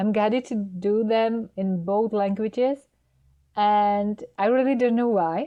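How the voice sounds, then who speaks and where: A woman's fairly high voice moves very slowly, its intonation fairly even. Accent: non-native. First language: Czech. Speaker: spiritual guide. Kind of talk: spiritual talk to camera. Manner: halting.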